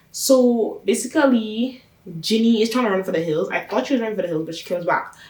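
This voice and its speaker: Over noticeable background noise, a woman talks at a very fast pace in an animated tone with ordinary pitch variation. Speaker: YouTuber reviewing a TV show. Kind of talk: casual TV recap vlog.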